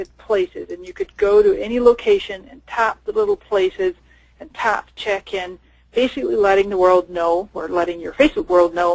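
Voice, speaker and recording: Excited in tone, a woman talks with lively intonation at a fairly high pitch. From Canada and Scotland. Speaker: social media marketing expert. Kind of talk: webinar presentation. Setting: online webinar. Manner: fast, excited.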